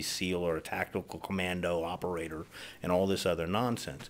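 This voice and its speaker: Very deep and low in pitch, a man speaks at a moderate pace with an American accent. The recording is very clean, with a silent background. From US West Coast, Los Angeles. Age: 60s. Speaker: self-defense educator. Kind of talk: scripted introduction to camera.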